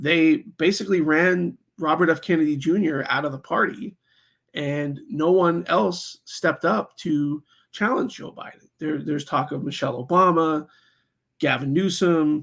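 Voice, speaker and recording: Pitch moving in a normal way in an unremarkable speaking voice. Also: man. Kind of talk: political commentary talk to camera. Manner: casual, conversational with many fillers.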